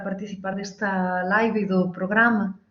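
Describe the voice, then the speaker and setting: This is a woman's voice. She speaks in a monotone, flat way. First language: Galician (speaking Portuguese). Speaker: university education professor and coordinator. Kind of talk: live online interview. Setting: live stream from new apartment. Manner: deliberately slow.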